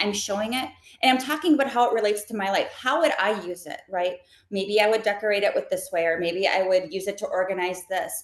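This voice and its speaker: A woman talks very fast in an animated tone. Her voice is medium in pitch, with ordinary pitch variation. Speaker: content creator and live shopping host. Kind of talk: webinar interview.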